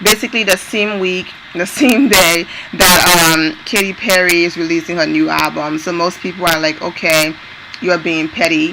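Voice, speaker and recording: With noticeable background noise, a woman speaks at a moderate pace, her fairly low pitch showing ordinary variation. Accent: non-native. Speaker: entertainment news vlogger. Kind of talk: casual talk to camera.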